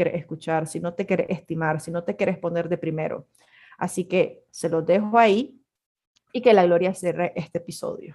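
A woman with a fairly low, dark, mellow voice, ordinary pitch variation and a moderate pace. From Nicaragua. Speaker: podcast co-host, communicator and photographer. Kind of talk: casual chat.

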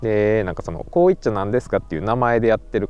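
A man at a very fast pace and fairly low pitch, with music in the background. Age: 30s. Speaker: podcast host. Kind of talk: casual solo monologue. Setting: outdoors in a park at night.

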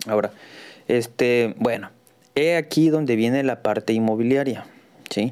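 A man talks at a moderate pace with a medium pitch and ordinary pitch variation. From Mexico, Tabasco. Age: 40s. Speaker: real estate advisor and podcaster. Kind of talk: solo podcast monologue. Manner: halting, many fillers.

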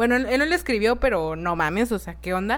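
Her pitch is medium, and the woman has an unremarkable speaking voice with ordinary pitch variation. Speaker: podcast host. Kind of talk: casual chat.

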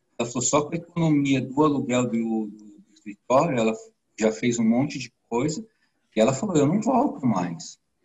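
A man speaks in a normal speaking voice at medium pitch. His intonation is lively and his pace moderate. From São Paulo, Brazil. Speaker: IT professional, course student. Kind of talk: interview.

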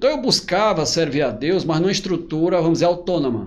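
At a moderate pace, a man speaks in a high voice. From Piauí, Brazil (Altos, near Teresina). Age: 40s. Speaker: pastor and author. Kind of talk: interview.

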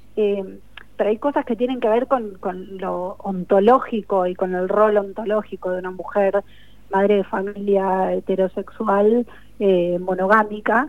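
Here is a plain, everyday voice from a woman at medium pitch. Her intonation stays fairly even. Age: 40s. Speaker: novelist. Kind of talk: radio interview.

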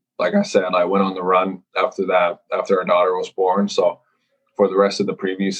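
A man at a moderate pace, with a slight Finnish accent. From Finland. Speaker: professional hockey goaltender. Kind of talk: casual interview.

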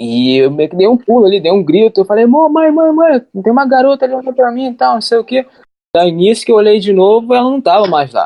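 Pitched high, a man speaks with very wide swings up and down in pitch. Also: fairly quick pace. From Japan, raised by Brazilian parents. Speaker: translator and YouTuber. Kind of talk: casual chat.

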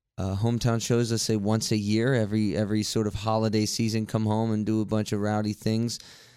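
An ordinary speaking voice from a man at medium pitch, in an American accent, at a fairly quick pace. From West Virginia, Martinsburg. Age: 20s. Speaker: musician. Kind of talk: casual interview. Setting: studio.

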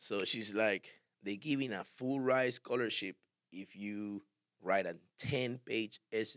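A man with a Spanish accent at a very slow pace, fairly low in pitch, ordinary pitch variation, dry, close sound with no echo. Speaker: barber and barbershop owner. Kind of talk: casual interview.

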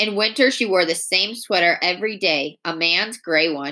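This is an unforced reading voice. It is used throughout.

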